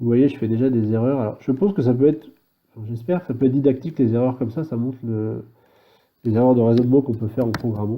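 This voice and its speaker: A man with a medium pitch talks at a fairly quick pace with fairly even intonation. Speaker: programming tutorial maker. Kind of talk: tutorial. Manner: halting, thinking aloud; fast.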